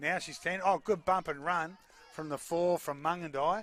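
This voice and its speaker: Speaking with an Australian accent, a man talks at a moderate pace with fairly high pitch and ordinary pitch variation. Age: 60s. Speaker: sports commentator. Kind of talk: live commentary. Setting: commentary box at stadium.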